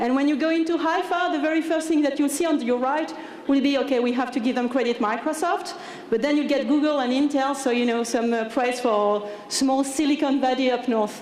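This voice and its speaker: A woman with a French accent speaks at a high pitch and fairly quick pace, with ordinary pitch variation and very even loudness. Room echo is audible, along with noticeable background noise. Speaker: tech company engineering manager. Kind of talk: conference talk. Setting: stage with audience. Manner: casual, hesitant with many fillers.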